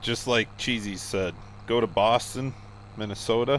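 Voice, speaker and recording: A speaker with an American accent, ordinary pitch variation and some vocal fry. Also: man. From Iowa. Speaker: streamer. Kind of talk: casual chat.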